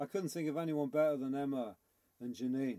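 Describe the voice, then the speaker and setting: The tone is dark and mellow. A man speaks with a Liverpool accent. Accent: Scouse. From Liverpool, England. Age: 50s. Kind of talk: interview.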